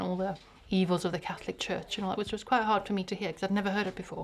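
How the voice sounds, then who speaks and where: A woman talks at a very fast pace in a monotone, flat intonation. Noticeable background noise runs under her speech. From South Africa. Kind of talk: casual interview.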